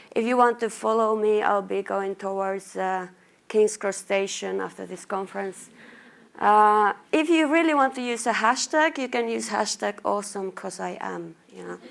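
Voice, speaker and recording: A woman with a Finnish accent at a moderate pace, on a very clean recording with a silent background. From Finland, Lapland. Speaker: marketing manager. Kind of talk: conference talk.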